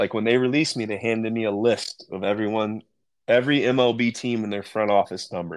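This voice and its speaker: With an American accent, a man speaks at a medium pitch and ordinary pitch variation. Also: very clean recording, silent background. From central Illinois, US. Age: 40s. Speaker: former pro baseball player, coach and teacher. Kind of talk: casual interview.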